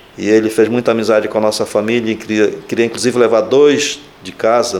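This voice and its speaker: A man talks in a flat monotone while background noise is clearly audible. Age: 60s. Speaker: Franciscan friar. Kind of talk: interview. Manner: halting.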